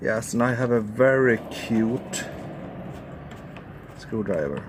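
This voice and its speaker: A man's medium-pitched voice at a very slow pace, with ordinary pitch variation, audible room echo and noticeable background noise. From Sweden. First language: Swedish. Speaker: amateur car mechanic, video creator. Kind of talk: DIY tutorial. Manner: casual, thinking aloud.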